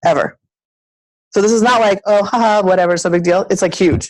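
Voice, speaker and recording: A woman talks at a fairly quick pace in an animated tone. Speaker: sales team leader. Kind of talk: team meeting pep talk. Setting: meeting room with audience, also on video call. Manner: loud.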